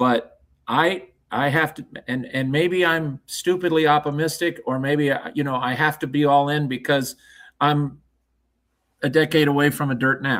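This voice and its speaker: This man's voice sits fairly high in pitch and moves along at a moderate pace. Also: very clean recording, silent background. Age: 60s. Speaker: horse racing announcer. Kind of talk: casual chat. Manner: animated.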